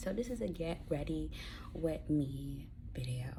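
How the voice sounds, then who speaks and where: A quiet woman's voice with audible room echo and noticeable background noise. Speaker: YouTuber. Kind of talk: get-ready-with-me vlog chat. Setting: at home. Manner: speaking quietly, low volume.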